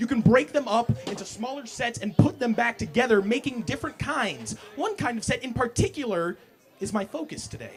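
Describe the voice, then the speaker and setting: An extremely high-pitched man's voice with lively intonation at a moderate pace, music in the background. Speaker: spoken word poet. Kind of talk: spoken word poetry performance. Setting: live coffee house open mic.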